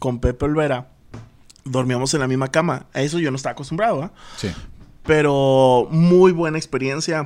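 A man talks at a moderate pace with a fairly high pitch. He has a normal speaking voice and ordinary pitch variation. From Tamaulipas, Mexico (Altamira). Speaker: radio and TV producer. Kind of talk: casual chat.

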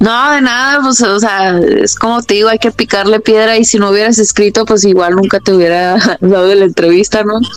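A woman's fairly high voice in a central Mexican accent, fairly quick with hardly any pauses, very even in loudness, with ordinary pitch variation and noticeable background noise. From Mexico, León, Guanajuato. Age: 20s. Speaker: mixed martial arts fighter. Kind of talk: interview.

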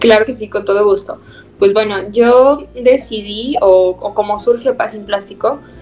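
Over music in the background, a woman talks at a fairly high pitch with fairly even intonation. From Zacatecas, Mexico. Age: 20s. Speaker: student and environmental project leader. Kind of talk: podcast interview.

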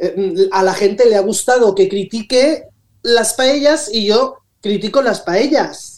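A woman talks at a very slow pace. Her pitch is fairly high, with ordinary variation. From Valencia region, Spain (Rocafort). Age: 60s. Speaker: social media influencer. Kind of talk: radio interview.

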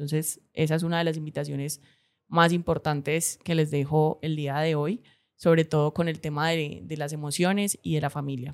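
A woman's very deep, low voice at a moderate pace, with fairly even intonation, on a very clean recording with a silent background. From Cali, Colombia. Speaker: podcast host. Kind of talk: solo reflective monologue. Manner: hesitant, many fillers and repetitions.

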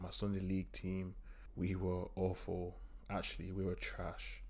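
A man speaks with an East Midlands accent. His pace is moderate. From East Midlands, England. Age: 20s. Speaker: strength and conditioning coach. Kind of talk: solo podcast monologue.

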